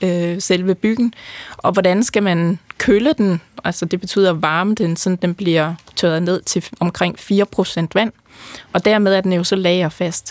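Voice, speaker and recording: The speech moves at a very slow pace. Its intonation is fairly even. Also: woman, dry, close sound with no echo. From North Jutland, Denmark. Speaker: brewing scientist. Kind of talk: interview.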